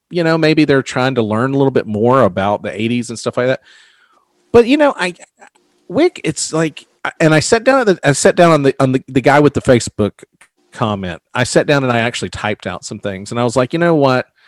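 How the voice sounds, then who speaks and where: Fairly quick, lively speech from a man with a plain, everyday voice at medium pitch, in a dry, close sound with no echo. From US South. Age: 40s. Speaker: podcast host. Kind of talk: casual chat.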